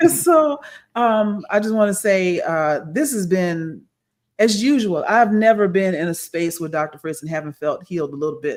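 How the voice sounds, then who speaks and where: This woman has a plain, everyday voice at a medium pitch, moving at a moderate pace with lively intonation. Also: very clean recording, silent background. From Texas, Houston. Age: 50s. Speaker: podcast host. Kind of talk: casual chat.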